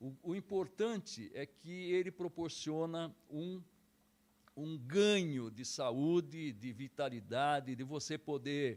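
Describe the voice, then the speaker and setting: With lively intonation, a man draws out his words at a very slow pace. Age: 60s. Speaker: karate instructor. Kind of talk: interview.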